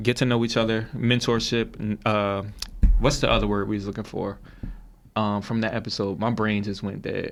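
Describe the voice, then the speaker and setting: A man with a fairly low pitch and monotone, flat intonation. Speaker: podcast co-host. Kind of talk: casual chat. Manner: fast.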